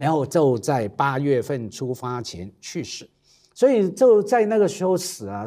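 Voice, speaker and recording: Against a quiet background, a man speaks with a fairly high pitch and a dark, mellow tone. His pitch swings very widely, and his loudness swings a lot. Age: 50s. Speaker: cultural commentator. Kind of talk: casual roundtable chat. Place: studio. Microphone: lapel.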